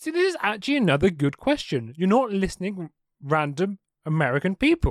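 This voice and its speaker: A man with an English accent talks at a fairly quick pace in a high pitch. His voice makes very wide pitch swings. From England. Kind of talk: casual chat.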